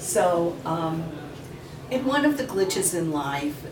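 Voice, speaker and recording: Both noticeable background noise and audible room echo surround a woman whose voice is very deep and low in pitch. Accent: New York. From New York. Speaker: novelist. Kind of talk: author Q&A. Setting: room with live audience.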